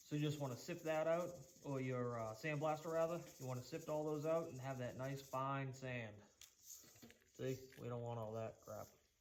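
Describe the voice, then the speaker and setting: A man with a Boston accent at a moderate pace, with ordinary pitch variation, long, frequent pauses, audible room echo and noticeable background noise. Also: fairly high pitch for a man. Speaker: woodworking youtuber. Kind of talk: tutorial. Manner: casual, conversational.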